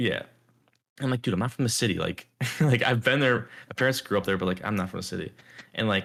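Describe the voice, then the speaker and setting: With an American accent and a medium pitch, a man talks very fast with ordinary pitch variation and long, frequent pauses. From Chicago suburbs, US Midwest. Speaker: podcast co-host. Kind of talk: casual chat. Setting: home. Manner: fast, halting with many fillers.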